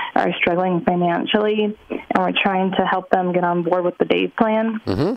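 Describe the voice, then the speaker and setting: The speaker is a woman. She keeps a moderate pace and fairly even intonation. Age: 30s. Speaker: caller. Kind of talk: advice call. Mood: worried, earnest. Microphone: phone line.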